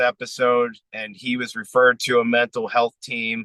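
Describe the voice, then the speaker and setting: A man speaks at a medium pitch with an American accent. His tone is bright and sharp, and the sound is dry and close with no echo. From United States. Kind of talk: interview. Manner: casual.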